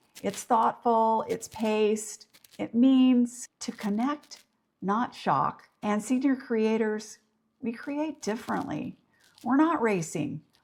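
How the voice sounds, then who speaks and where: Speaking very slowly, a woman uses lively intonation in a fairly high, somewhat breathy voice. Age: old. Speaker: YouTube creator. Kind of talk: casual talk to camera.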